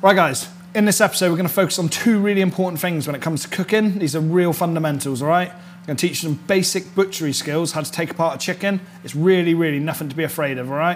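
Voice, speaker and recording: A man's high voice at a very fast pace, fairly even in intonation, over light background noise. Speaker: chef host. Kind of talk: cooking tutorial. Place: kitchen.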